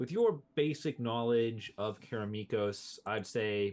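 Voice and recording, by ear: A passage is read aloud. The delivery comes in a natural voice.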